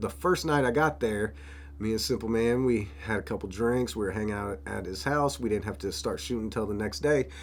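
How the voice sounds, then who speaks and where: Speaking with an American accent, a man talks at a fairly quick pace. His fairly low voice makes very wide pitch swings. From Florida. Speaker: rapper and videographer. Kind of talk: vlog narration. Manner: casual.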